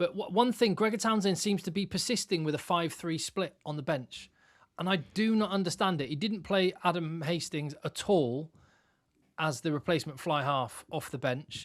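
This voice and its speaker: The speaker has an English accent and talks at a moderate pace. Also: man, high pitch for a man, ordinary pitch variation. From England. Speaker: rugby podcast co-host. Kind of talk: casual chat.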